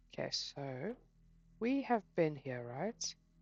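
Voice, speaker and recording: A woman's voice with music in the background. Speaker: gaming youtuber. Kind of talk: gameplay commentary. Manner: mumbling; animated.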